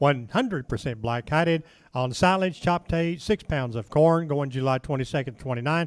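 A man with a normal speaking voice talks at a fairly high pitch and a fairly slow pace. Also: ordinary pitch variation. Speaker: livestock auction announcer. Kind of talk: reading out lot descriptions for a cattle auction. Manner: brisk, matter-of-fact listing of lot details.

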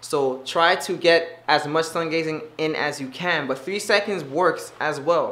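A man speaks with ordinary variation in his pitch. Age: 20s. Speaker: wellness video creator. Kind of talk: casual monologue. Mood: relaxed, friendly. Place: home room. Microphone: phone near.

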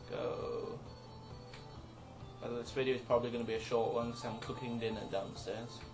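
Clear music plays in the background. The speech has long, frequent pauses. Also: fairly quick pace. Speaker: let's play gamer. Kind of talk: casual gameplay commentary.

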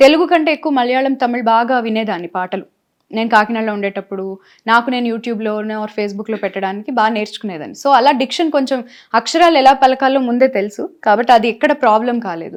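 A high-pitched woman's voice on a very clean recording with a silent background. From Andhra Pradesh, Kakinada (East Godavari). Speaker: playback singer. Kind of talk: interview.

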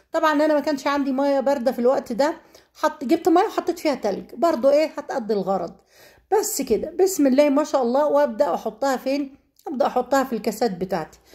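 Lively intonation and a dark, mellow tone come through at a fairly quick pace on a very clean recording with a silent background. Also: woman, high pitch for a woman. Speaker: cooking vlogger. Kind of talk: cooking tutorial.

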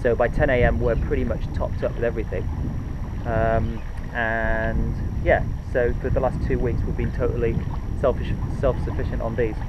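Long, frequent pauses break up the speech amid loud background noise. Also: man, moderate pace. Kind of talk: casual vlog tutorial. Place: boat.

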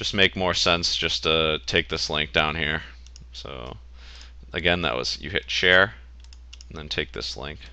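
Against a quiet background, a man with an American accent speaks fairly slowly in a very deep, low pitch, his bright, sharp tone edged with vocal fry. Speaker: WordPress tutorial host. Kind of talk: screen-recording software tutorial. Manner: casual, conversational.

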